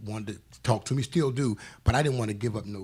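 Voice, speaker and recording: Speaking at a very fast pace, a man keeps a medium pitch and fairly even intonation, his voice somewhat breathy. The recording is very clean, with a silent background. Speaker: author. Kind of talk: interview.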